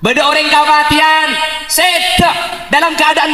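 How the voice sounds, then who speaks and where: A man speaks in a raised, projected voice at an extremely high pitch and a fairly slow pace. Noticeable background noise is present. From Madura, Bangkalan. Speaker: Islamic preacher. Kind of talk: religious sermon. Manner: humorous.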